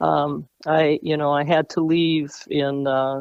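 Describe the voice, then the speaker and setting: The voice belongs to a woman. It sits at a very deep, low pitch. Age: 70s. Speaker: retired teacher and coach. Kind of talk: radio interview.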